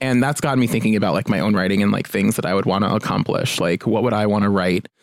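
With an American accent, the speaker's pitch varies in an ordinary way. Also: man. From New Jersey. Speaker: journalist. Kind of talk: casual chat.

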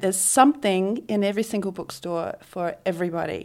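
With a slight New Zealand accent, a woman speaks at a moderate pace and medium pitch with fairly even intonation on a very clean recording with a silent background. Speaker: book publicist. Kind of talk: interview conversation. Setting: on location in Bondi Beach.

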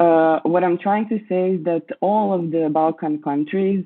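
A woman with a Croatian accent, fairly low in pitch, at a fairly slow pace and with monotone, flat intonation. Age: 20s. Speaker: curator, writer. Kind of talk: interview. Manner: halting.

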